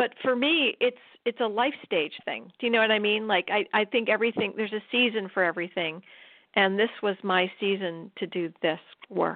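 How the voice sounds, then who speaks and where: A woman's unremarkable speaking voice, pitched in her medium range, with ordinary pitch variation and a moderate pace. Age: 60s. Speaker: cancer survivor and writer. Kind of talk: interview.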